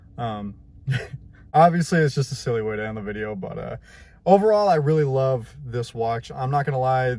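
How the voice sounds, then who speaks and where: Moving at a fairly quick pace, a man of medium pitch speaks with a dark, mellow, somewhat breathy tone. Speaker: tech YouTuber. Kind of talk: casual vlog. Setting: outdoors. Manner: animated.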